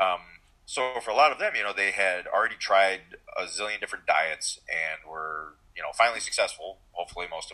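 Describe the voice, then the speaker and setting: Talking at a fairly quick pace, a man lets his loudness swing widely. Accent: American. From Michigan, US. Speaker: physician and powerlifting coach. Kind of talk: casual interview.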